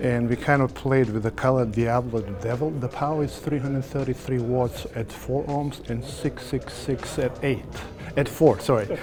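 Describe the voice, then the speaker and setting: Someone with a Serbo-Croatian accent speaks at a moderate pace over noticeable background noise. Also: man, medium pitch for a man, fairly even intonation. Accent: Balkan (Serbo-Croatian) accent in English. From former Yugoslavia. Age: 60s. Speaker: audio dealer. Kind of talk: interview. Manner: halting.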